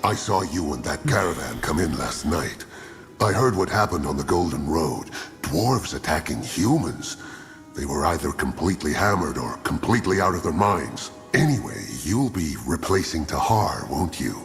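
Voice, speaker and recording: A put-on character voice moves at a moderate pace with clear music playing in the background. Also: man, very deep, low pitch for a man. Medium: machinima.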